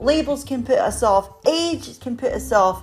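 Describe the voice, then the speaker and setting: A woman's high-pitched voice over music in the background. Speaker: podcast host. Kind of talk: podcast intro. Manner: upbeat.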